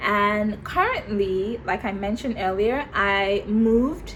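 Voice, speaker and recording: Speaking fairly slowly, a woman with a medium pitch sounds somewhat breathy and animated. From Nigeria. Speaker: YouTuber. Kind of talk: vlog talk to camera.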